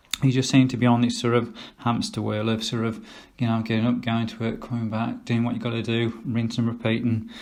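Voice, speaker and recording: A man with an English Midlands accent, medium pitch and a fairly quick pace, in a room with audible echo. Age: 50s. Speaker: vlogger. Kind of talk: casual vlog monologue. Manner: hesitant, many fillers.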